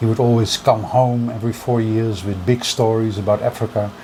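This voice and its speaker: Over noticeable background noise, a man with a Dutch accent speaks at a fairly quick pace and a medium pitch with a monotone, flat intonation. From Netherlands. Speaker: music collector. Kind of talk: interview.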